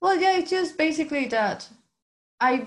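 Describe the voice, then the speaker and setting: The speaker is a woman. She has a Venezuelan accent. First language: Spanish. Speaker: graphic designer. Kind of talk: interview.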